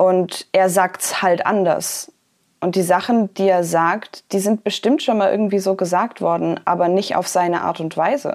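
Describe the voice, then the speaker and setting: In an ordinary speaking voice, a woman talks at a moderate pace with a medium pitch and fairly even intonation. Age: 20s. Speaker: poetry slammer and author. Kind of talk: interview.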